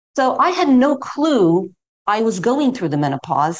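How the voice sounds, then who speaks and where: The speaker has an American accent. The pitch swings very widely. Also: woman. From US, New York City. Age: 60s. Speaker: yoga teacher. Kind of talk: interview.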